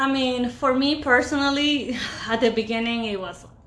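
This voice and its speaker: Noticeable background noise sits under this woman's voice as she talks at a moderate pace. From Ecuador. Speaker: podcast host. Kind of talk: casual chat.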